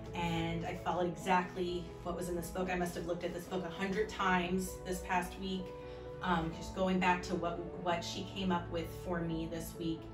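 With an American accent, the speaker keeps a moderate pace while clear music plays in the background. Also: woman. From Orlando, Florida. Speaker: fifth grade teacher. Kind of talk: patient testimonial to camera. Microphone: phone near.

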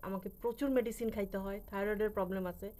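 A woman speaks in an unremarkable speaking voice at a medium pitch. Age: 40s. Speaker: vlogger. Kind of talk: casual vlog monologue.

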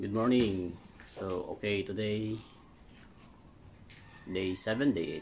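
A man talks slowly at a fairly low pitch with ordinary pitch variation. His tone is slightly mellow.

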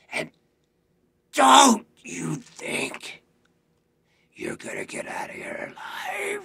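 A raspy, put-on character voice moves at a very slow pace, broken by long, frequent pauses. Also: man, extremely high pitch for a man. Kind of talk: audition scene reading. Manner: menacing, threatening.

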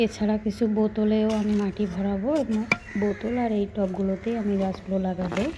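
A woman speaks in a flat monotone at medium pitch, her loudness very even, with noticeable background noise. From Rangpur, northern Bangladesh. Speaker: gardening vlogger. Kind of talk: casual vlog narration.

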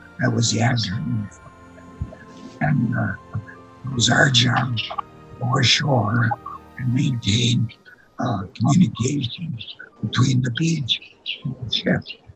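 Faint music plays behind a man who speaks at a fairly slow pace with ordinary pitch variation and long, frequent pauses. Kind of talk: interview answer. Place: home room. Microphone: video call.

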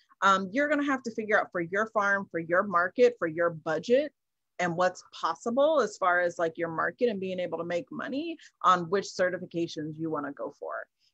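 In an American accent, a woman talks at a fairly quick pace with lively intonation and a bright, sharp tone, the sound dry with no echo and the background quiet. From US Midwest, Kansas City, Missouri; Missouri. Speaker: farmer and herbalist; keynote speaker. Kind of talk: keynote conversation. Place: home room. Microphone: video call.

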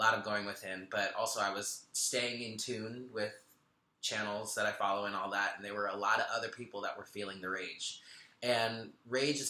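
With audible room echo around him, a man talks at a fairly quick pace in a bright, sharp tone with ordinary pitch variation. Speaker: spiritual tarot reader. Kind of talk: casual vlog chat. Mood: relaxed, lightly laughing. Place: home room. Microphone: webcam.

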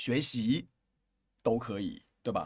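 This man's pitch swings very widely. The recording is very clean, with a silent background. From China. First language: Chinese (speaking Thai). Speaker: Chinese language teacher. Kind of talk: language lesson.

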